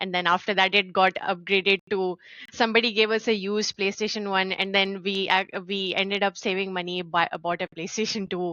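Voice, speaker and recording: A woman speaks at a medium pitch in a monotone, flat way. Her pace is fairly quick, with hardly any pauses. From Saudi Arabia. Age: 20s. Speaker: game studio founder. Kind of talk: interview.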